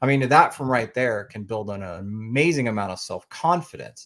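On a very clean recording with a silent background, a man with an American accent talks at a moderate pace and medium pitch with ordinary pitch variation. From Oklahoma. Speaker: woodworking podcaster. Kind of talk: casual interview. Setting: live video stream.

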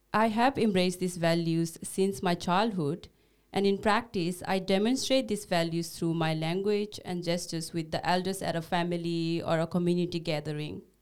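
Here a woman talks at a moderate pace. Her pitch is fairly low. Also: ordinary pitch variation, hardly any pauses. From Bhutanese refugee camp in Nepal. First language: Nepali. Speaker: podcast co-host, social worker. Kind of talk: casual scripted conversation. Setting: studio.

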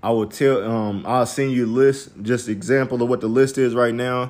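Delivered at a moderate pace, this is a plain, everyday voice with an American accent and fairly even intonation. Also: man. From US Midwest. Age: 30s. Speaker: podcast host. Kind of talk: casual chat. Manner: casual, filler-heavy.

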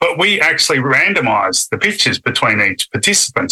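A man talks at a fairly quick pace with an Australian accent. The sound is dry and close, with no echo. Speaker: neuroscientist. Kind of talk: interview.

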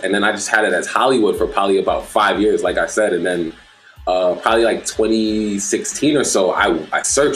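Over music in the background, a man with an American accent speaks at a fairly quick pace. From Brooklyn, New York. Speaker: DJ. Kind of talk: casual chat.

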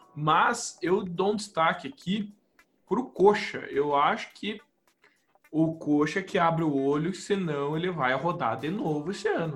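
This man's voice is pitched high, with ordinary pitch variation. He talks at a fairly slow pace. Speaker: football podcast co-host. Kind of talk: casual chat.

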